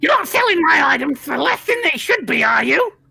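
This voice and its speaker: A high-pitched, put-on character voice moves along at a fairly quick pace. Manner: suspicious, accusing.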